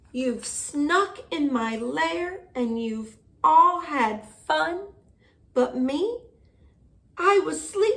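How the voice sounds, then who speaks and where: In a put-on character voice, gruff and growling, someone speaks at a very slow pace with long, frequent pauses and very wide pitch swings. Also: woman, high pitch for a woman. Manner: growling, gruff.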